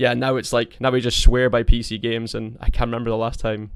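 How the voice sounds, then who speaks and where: A man with a British accent races along at a very fast pace, medium in pitch and monotone, flat in intonation. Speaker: podcast host. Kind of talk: casual chat.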